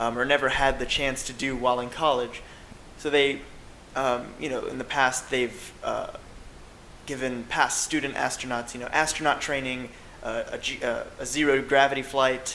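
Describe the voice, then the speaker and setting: A medium-pitched man with a monotone, flat intonation over noticeable background noise. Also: moderate pace. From US South. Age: 20s. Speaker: astrophysics student. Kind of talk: interview. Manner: hesitant, many fillers.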